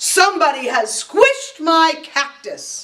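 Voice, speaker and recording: Using a put-on character voice, a woman growls loudly at an extremely high pitch with very wide pitch swings. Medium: read story. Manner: loud, indignant.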